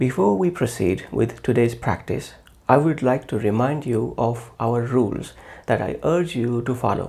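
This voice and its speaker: Speaking with a non-native accent, a man has a medium-pitched, dark, mellow tone that is somewhat breathy. His pace is fairly slow and his intonation lively. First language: not English. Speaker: English teacher. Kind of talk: tutorial. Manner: formal.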